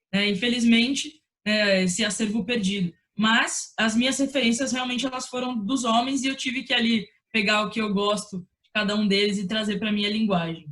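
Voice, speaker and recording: A woman talks at a moderate pace with fairly high pitch and fairly even intonation. Her loudness swings widely. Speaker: sports broadcaster. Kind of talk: interview answer.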